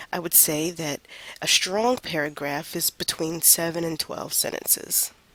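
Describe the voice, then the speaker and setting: A woman talks at a fairly low pitch. Noticeable background noise runs underneath. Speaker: college writing instructor. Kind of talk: lecture. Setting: recorded online lecture.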